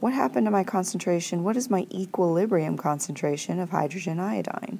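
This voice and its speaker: A woman speaks at a moderate pace with a fairly low pitch. Her intonation is lively, and there is vocal fry in her voice. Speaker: high school chemistry teacher. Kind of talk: tutorial.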